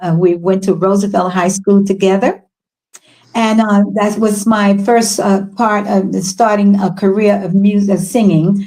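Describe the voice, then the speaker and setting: In an American accent, a woman speaks at a fairly slow pace and medium pitch, with a dark, mellow tone, monotone, flat intonation and very even loudness. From US, Washington D.C. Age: 80s+. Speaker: soul singer. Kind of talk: interview storytelling. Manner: halting, many fillers.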